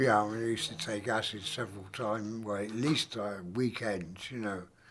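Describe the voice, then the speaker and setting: Music plays in the background. A speaker with an English accent talks at a fairly quick pace with fairly even intonation. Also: man, fairly low pitch for a man. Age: 70s. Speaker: retired DJ. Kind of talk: interview monologue. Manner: halting, many fillers.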